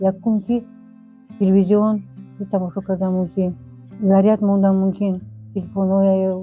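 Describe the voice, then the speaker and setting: With music in the background, a woman speaks in a monotone, flat intonation at medium pitch. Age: 70s. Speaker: farmer. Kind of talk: interview. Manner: halting.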